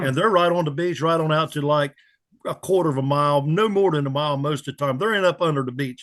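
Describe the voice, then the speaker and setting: This man has an American accent and a fairly high pitch. He talks at a very fast pace with ordinary pitch variation. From Pamlico County, North Carolina. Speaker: charter boat captain. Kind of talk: interview answer.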